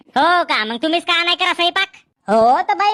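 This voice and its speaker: In a put-on character voice, a woman speaks at a fairly quick pace with an extremely high, squeaky pitch and a dry, close sound with no echo. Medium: voice reel.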